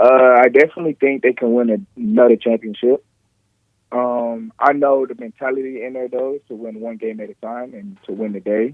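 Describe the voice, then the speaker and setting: A man with a medium pitch talks at a fairly quick pace. His loudness swings widely, and his pitch variation is ordinary. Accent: American. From Texas. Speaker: professional football player. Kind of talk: radio interview.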